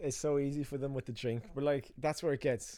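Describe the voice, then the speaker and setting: This man has a dark, mellow tone and an Irish accent. His intonation stays fairly even. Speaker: filmmaker and podcast host. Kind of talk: casual chat.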